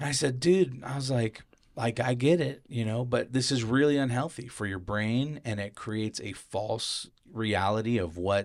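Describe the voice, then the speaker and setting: Heard in a very clean recording with a silent background, a man has an unremarkable speaking voice, a medium pitch, ordinary pitch variation and a moderate pace. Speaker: podcast host. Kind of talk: casual chat.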